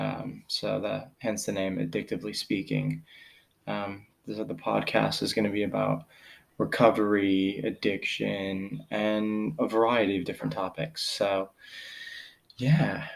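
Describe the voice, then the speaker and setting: A man speaks with a Pennsylvania accent. His pace is fairly slow. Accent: Pennsylvania American. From US, central Pennsylvania. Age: 40s. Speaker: podcast host. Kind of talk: personal monologue. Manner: halting, many fillers.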